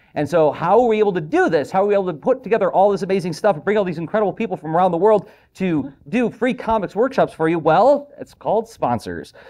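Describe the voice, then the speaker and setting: Against a quiet background, a man with a high pitch and a dark, mellow tone races along at a very fast pace with hardly any pauses. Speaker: festival host. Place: classroom.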